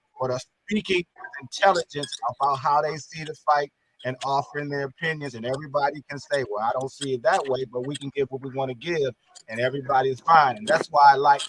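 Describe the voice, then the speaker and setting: This man has a plain, everyday voice, fairly high in pitch for a man, moving at a fairly quick pace with ordinary pitch variation in a dry, close sound with no echo. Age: 60s. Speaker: boxing commentator. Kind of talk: panel discussion.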